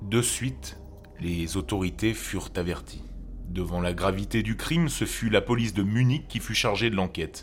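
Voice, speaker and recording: A man speaks with a fairly low pitch. Vocal fry runs through his voice. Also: lively intonation. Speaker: podcast host, horror storyteller. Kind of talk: true-crime narration, scripted storytelling read in a hushed late-night horror tone. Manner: slow, measured, grave.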